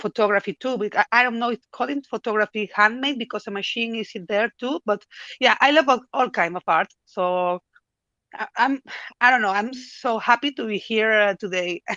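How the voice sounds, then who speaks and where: A woman speaks at a moderate pace in a fairly high pitch with a bright, sharp tone, recorded dry and close with no echo against a quiet background. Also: ordinary pitch variation. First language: not English. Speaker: AI artist. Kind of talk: podcast interview. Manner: halting.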